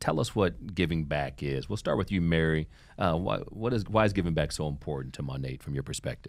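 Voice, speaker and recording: A man with a very deep, low voice and vocal fry speaks in an American accent. His intonation is lively and his pace fairly quick. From Ohio. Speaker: podcast host and nonprofit executive. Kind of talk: interview. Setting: studio. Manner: upbeat.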